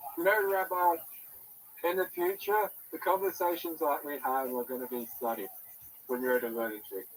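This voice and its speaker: Over noticeable background noise, a man with a high pitch and lively intonation talks at a moderate pace with long, frequent pauses. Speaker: caller to livestream. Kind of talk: casual chat.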